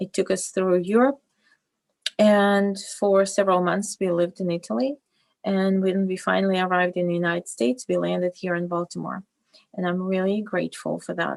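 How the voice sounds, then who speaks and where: A Russian accent in a dry, close sound with no echo. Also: woman, medium pitch for a woman. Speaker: fashion designer and business owner. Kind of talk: interview. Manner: halting, many fillers.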